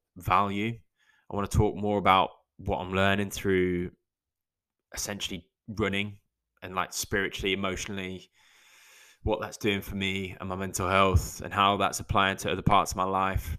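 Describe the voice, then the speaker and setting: On a very clean recording with a silent background, a man speaks in a fairly low, bright, sharp tone, with monotone, flat intonation, a moderate pace and long, frequent pauses. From English Midlands, Lichfield. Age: 30s. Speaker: podcast host. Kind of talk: solo casual monologue. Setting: garden shed studio. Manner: casual, rambling pace.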